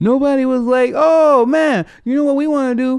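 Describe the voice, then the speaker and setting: A man speaks at an extremely high pitch with fairly even intonation. The background is quiet. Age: 30s. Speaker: comedian and podcast host; comedian, podcast host. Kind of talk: casual chat. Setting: at home. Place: home room. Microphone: studio mic.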